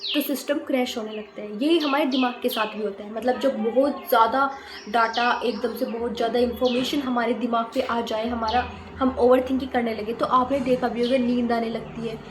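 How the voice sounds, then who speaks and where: Audible room echo surrounds a woman with a high pitch. She speaks at a fairly slow pace. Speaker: YouTuber, student. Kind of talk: casual explainer vlog. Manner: halting. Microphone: voice may come through quieter.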